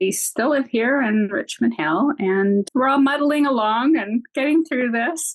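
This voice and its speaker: A woman with a high pitch and a Canadian accent talks at a fairly slow pace with hardly any pauses, her intonation lively and her loudness very even. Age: 60s. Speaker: retired teacher with multiple sclerosis. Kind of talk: interview testimony.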